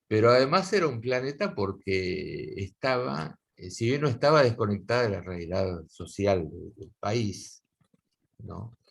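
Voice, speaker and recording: Fairly slow male speech of medium pitch, with very wide pitch swings and big swings in loudness. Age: 60s. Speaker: guitar teacher. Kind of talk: casual interview conversation. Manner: halting, many fillers.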